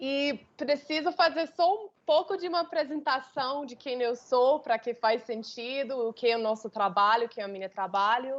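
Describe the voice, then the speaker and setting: With an American accent, a woman speaks fairly slowly in a high voice full of lively intonation. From United States. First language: English (speaking Portuguese). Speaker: intercultural consultant. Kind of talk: webinar talk. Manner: hesitant, many fillers.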